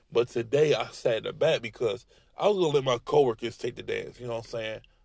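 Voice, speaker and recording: A man at a very fast pace with ordinary pitch variation, on a very clean recording with a silent background. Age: 30s. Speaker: podcaster and retail sales rep. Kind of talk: angry rant, venting on his job. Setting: in a car, driving late at night. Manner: fired up, profane, repetitive, with heavy 'you know what I'm saying' filler; defiant, ranting, braggadocious, with stretches of stop-start repetition.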